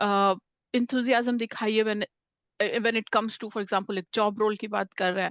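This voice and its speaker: A woman's fairly high voice at a moderate pace, flat and monotone in intonation, with big swings in loudness and a dry, close sound free of echo. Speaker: communication skills trainer. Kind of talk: interview-style workshop talk. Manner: frequent hesitations, Hindi-English mixing.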